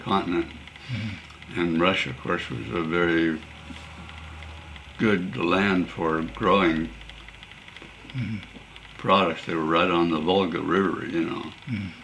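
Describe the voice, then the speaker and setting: Over noticeable background noise, a man with a Pacific Northwest accent talks at a fairly slow pace in a very deep, low pitch, with ordinary pitch variation and long, frequent pauses. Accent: Pacific Northwest American. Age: 80s+. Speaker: retired businessman. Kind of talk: interview answer.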